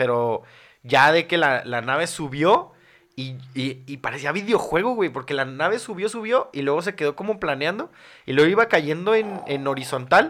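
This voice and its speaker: Lively intonation marks this man's fairly high-pitched speech at a moderate pace. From Mexico City. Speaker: content creator. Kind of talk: casual chat. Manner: halting.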